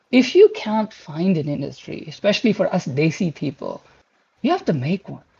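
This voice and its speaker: In a Pashto accent, a man with a high pitch and a dark, mellow tone speaks at a moderate pace with lively intonation and big swings in loudness. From Pakistan. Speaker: game graphics engineer. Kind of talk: career talk to online community. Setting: online community voice chat. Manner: hesitant, with fillers and repeated words.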